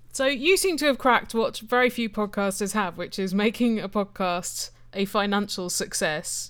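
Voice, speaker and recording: On a very clean recording with a silent background, a woman with a British accent talks at a medium pitch and a moderate pace with hardly any pauses. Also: ordinary pitch variation. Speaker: interviewer, podcaster. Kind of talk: interview. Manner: witty, jokey.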